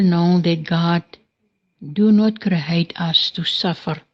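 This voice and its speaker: The delivery is very slow and somewhat breathy. Pitch variation is ordinary. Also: woman. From South Africa, Northern Cape. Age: 60s. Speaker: soup kitchen founder. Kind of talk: voice message testimony. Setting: recorded voice messages.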